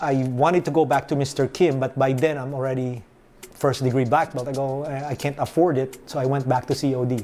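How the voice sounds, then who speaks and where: A man in a Filipino accent speaks with a dark, mellow tone and monotone, flat intonation. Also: medium pitch for a man, fairly quick pace. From Philippines (Manila). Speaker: martial arts instructor. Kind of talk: interview. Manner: casual, storytelling.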